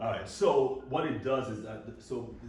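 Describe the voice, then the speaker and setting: A man with an American accent, with audible room echo and noticeable background noise. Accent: Nigerian-sounding. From Baltimore, US (Nigerian family). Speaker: doctor giving a health seminar. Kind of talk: lecture. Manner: fast.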